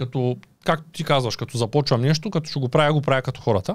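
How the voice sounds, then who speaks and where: A man at a fairly quick pace, ordinary pitch variation, dry sound with no echo and a quiet background. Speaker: YouTuber and podcast host; podcast guest. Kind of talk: casual interview. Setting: studio. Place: studio. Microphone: studio mic.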